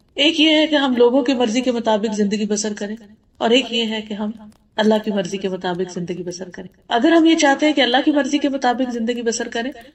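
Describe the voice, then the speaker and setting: A woman has a plain, everyday voice pitched fairly high, with ordinary pitch variation. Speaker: Islamic scholar giving a lecture. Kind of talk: religious lecture to an audience.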